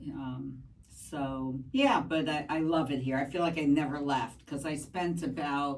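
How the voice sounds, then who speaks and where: Her voice very deep and low, a woman speaks at a moderate pace with fairly even intonation amid audible room echo. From New York, Brooklyn. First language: Spanish. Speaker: math teacher. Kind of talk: podcast interview. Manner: hesitant, many fillers.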